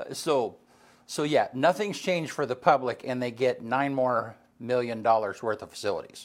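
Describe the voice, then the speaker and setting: An ordinary speaking voice from a man at medium pitch, with ordinary pitch variation and a moderate pace, in a very clean recording with a silent background. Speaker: radio host. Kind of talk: casual chat.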